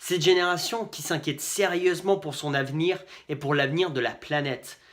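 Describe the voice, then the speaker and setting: Pitch shifts in an ordinary way as the speech runs fairly quickly. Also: man. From Finland. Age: 20s. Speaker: political candidate. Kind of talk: campaign video address.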